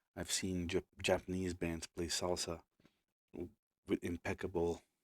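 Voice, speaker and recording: A man with a Portuguese accent speaks at a fairly slow pace in a very deep, low pitch with monotone, flat intonation. The recording is very clean, with a silent background and a dry, close sound with no echo. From Brazil. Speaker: musician and producer. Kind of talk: live stream tutorial. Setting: home studio live stream. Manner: casual, hesitant with fillers.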